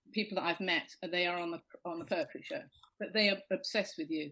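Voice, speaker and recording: A woman with a British accent, lively intonation and a moderate pace. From Britain. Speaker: comedian and poetry show host. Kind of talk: casual chat.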